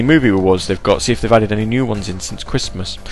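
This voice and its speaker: Music plays in the background. A man with an American accent talks at a very fast pace. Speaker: internet radio DJ. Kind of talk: casual radio chat between music tracks. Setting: home studio, live stream with chat. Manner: casual, many filler ums.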